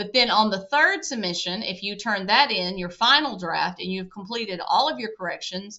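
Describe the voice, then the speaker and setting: With a Southern US accent, the talker holds a moderate speed and ordinary pitch movement. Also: woman. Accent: very Southern. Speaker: college instructor. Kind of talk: course introduction lecture. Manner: casual, conversational.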